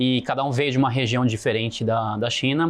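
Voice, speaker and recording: Using a plain, everyday voice, the speaker keeps a moderate pace with ordinary pitch variation. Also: man. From Brazil, Foz do Iguaçu area, then São Paulo. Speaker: podcast guest, business person. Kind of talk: interview conversation.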